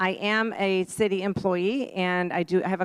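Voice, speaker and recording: On a very clean recording with a silent background, a woman speaks at medium pitch with ordinary pitch variation, the sound dry and close with no echo. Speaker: city wellness coach and nutritionist. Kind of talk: presentation to a community audience. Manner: animated.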